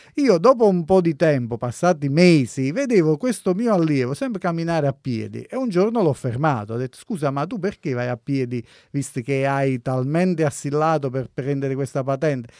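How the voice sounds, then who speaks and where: A man speaks in a plain, everyday voice at a fairly high pitch with lively intonation. His pace is moderate, and the recording is very clean with a silent background. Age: 40s. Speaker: driving instructor and road safety expert. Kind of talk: radio talk show.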